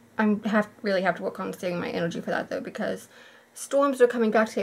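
The voice is somewhat breathy, with light background noise behind it. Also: woman. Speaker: vlogger. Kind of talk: casual vlog chat. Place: home room. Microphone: phone near.

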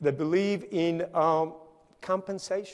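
A man with a Spanish accent. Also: quiet background. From Colombia, Barranquilla; Colombia. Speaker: engineering company CEO; conference speaker. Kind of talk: conference talk. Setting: stage with audience. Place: stage.

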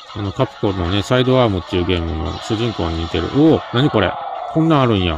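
The sound is dry with no echo, though background noise is noticeable. A man talks fairly quickly in a fairly low voice. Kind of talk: casual let's-play commentary. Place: home room. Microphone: phone near.

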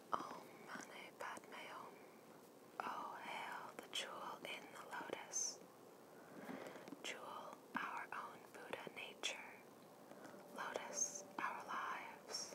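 A woman whispering at a very slow pace, with long, frequent pauses. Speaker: ASMR creator. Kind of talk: ASMR art card reading with whispers. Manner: whispered, soft.

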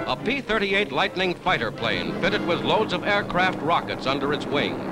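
The pace is moderate. Loud background noise runs underneath. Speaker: newsreel narrator. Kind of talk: newsreel narration. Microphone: old recording.

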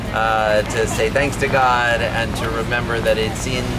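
Loud background noise is heard throughout. Over it, a man talks. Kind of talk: informal public remarks. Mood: cheerful, laughing. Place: street.

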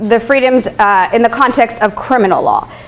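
Music plays in the background as a woman speaks. Her pace is moderate, with ordinary pitch variation. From Quebec. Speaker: law lecturer. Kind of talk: public lecture. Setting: lecture hall with audience. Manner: casual with many fillers. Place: classroom.

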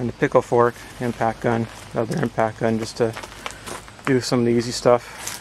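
There is a man speaking at a moderate pace. The sound is dry with no echo, over light background noise. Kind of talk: tutorial. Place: garden. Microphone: phone near.

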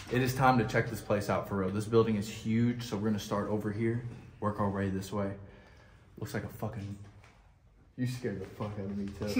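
Fairly quick, somewhat breathy speech in a flat monotone, with light background noise and audible room echo. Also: man, fairly low pitch for a man. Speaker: vlogger filming exploration. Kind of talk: casual vlog chat. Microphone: phone near.

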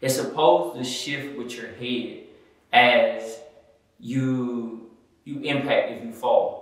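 Strong room echo surrounds a man speaking at a very slow pace. The background is otherwise quiet. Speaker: product reviewer. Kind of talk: product review talk. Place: home room.

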